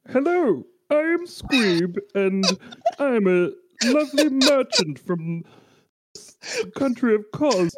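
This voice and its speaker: In a put-on character voice, the speaker talks at a very slow pace and a fairly high pitch, with very wide pitch swings and long, frequent pauses. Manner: Muppet-like puppet voice.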